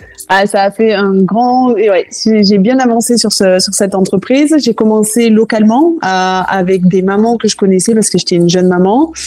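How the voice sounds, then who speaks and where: Speaking at a moderate pace with hardly any pauses, a woman of medium pitch shows ordinary pitch variation and very even loudness. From southwest France, Toulouse. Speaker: cooking school founder. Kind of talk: interview.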